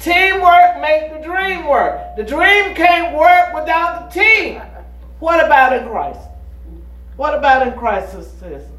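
Noticeable background noise accompanies words delivered very slowly. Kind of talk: sermon, teaching from the pulpit. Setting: church with congregation. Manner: call-and-response, pausing on key words for the congregation to fill in; emphatic, exhorting and fervent.

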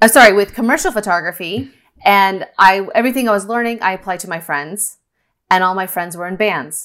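Delivered at a fairly quick pace with an American accent, a normal speaking voice shows ordinary pitch variation in a very clean recording with a silent background. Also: woman. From Northern California. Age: 30s. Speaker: parkour photographer. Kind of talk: interview conversation.

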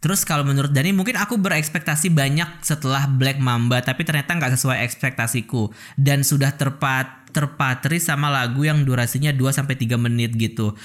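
In an ordinary speaking voice, a man talks at a fairly quick pace and a fairly high pitch, with ordinary pitch variation, very even loudness and hardly any pauses. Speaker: podcast host. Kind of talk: casual chat.

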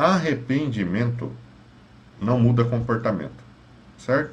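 A man's somewhat breathy voice with lively intonation, in audible room echo. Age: 30s. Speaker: psychologist. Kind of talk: advice monologue.

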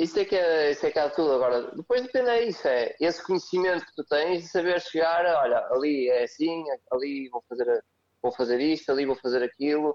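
Speaking fast-ish at a fairly quick pace, a man with a European Portuguese accent has a fairly high pitch and big swings in loudness. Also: lively intonation. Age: 30s. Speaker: CrossFit coach. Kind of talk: podcast interview.

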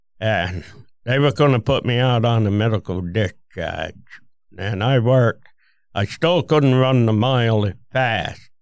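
A man with a strong Vermont accent, fairly slow in pace, with ordinary pitch variation. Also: medium pitch for a man. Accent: thick Vermont (New England). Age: 70s. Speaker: war veteran. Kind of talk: casual chat.

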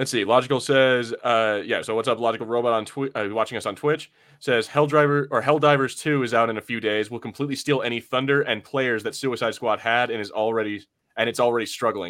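The man's voice sits at a medium pitch. He talks at a very fast pace in an animated tone. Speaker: podcast host. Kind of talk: casual banter podcast. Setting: live online video podcast. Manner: animated, joking.

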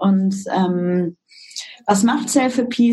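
This is a woman in a normal speaking voice. She has a medium pitch and ordinary pitch variation. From Germany, East Westphalia-Lippe (Detmold). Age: 30s. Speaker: startup co-founder. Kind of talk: interview.

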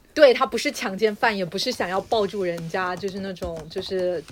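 Hardly any pauses break up this woman's moderate pace. She has a normal speaking voice at medium pitch with ordinary pitch variation. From southern China. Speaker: podcast co-host. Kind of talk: casual chat.

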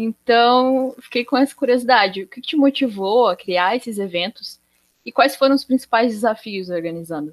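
In a normal speaking voice, a woman talks at a moderate pace with a fairly high pitch, lively intonation and big swings in loudness. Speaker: student podcast host. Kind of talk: interview.

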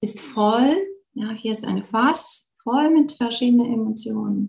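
At a very slow pace, a woman speaks in a calm, gentle tone, her fairly high pitch showing ordinary variation. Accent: Latvian. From Latvia. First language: Latvian (speaking German). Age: young. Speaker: yoga teacher and emotion coach. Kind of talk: online live talk with Q&A. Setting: live video call.

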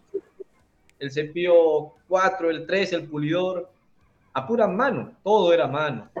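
At a very slow pace, a man speaks with lively intonation and long, frequent pauses. His pitch is fairly high. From Peru, Trujillo. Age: 40s. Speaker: carpenter and tool-making content creator. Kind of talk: casual interview.

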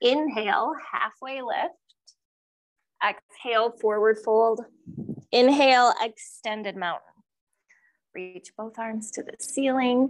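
This woman has a high pitch with ordinary variation and big swings in loudness. She talks very slowly, leaving long, frequent pauses. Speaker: yoga teacher. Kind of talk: guided yoga class cueing breath-linked movements. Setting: yoga studio with live class. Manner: calm, rhythmic breath-paced instructions; warm, encouraging and gently humorous.

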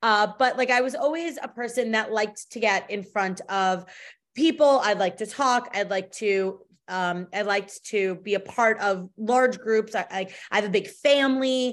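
A woman with an American accent speaks at a moderate pace in an ordinary speaking voice, her pitch fairly high with ordinary variation. The recording is very clean, with a silent background. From Long Island, New York. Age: 40s. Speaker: entrepreneur and networking group founder. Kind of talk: casual interview.

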